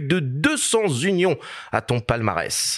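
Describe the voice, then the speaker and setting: Very wide pitch swings from a man with a fairly high voice. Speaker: podcast host. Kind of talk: podcast interview intro. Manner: formal introduction.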